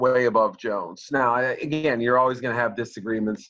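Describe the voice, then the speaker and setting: With an American accent, a man talks at a moderate pace at medium pitch in an ordinary speaking voice. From Boston area, US. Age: middle-aged. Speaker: sports journalist. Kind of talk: interview.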